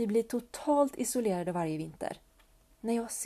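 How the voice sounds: The intonation is lively. It comes in a natural reading voice.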